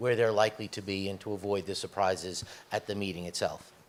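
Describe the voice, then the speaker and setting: This is a man with a fairly low pitch. He speaks in a New York accent. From US, New York. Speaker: corporate executive, panelist. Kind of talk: panel discussion.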